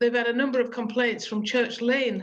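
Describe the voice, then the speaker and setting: The intonation is monotone and flat. The speaker is a woman with a fairly high pitch. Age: 60s. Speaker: councillor. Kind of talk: public meeting briefing. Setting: video call.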